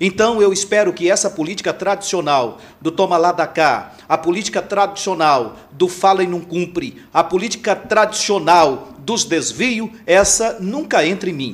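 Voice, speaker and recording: With hardly any pauses, a man speaks fairly slowly in a high voice with ordinary pitch variation. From Imperatriz, Maranhão, Brazil. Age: 50s. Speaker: pastor and mayoral pre-candidate. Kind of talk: political interview.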